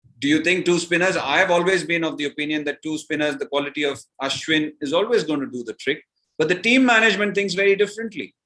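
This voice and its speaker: A man's bright, sharp voice at a very fast pace. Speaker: former cricketer and commentator. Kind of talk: podcast interview answer.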